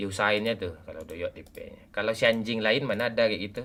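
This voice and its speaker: An animated man at a medium pitch and fairly quick pace. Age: 40s. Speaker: game live streamer. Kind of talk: casual live stream chat while gaming.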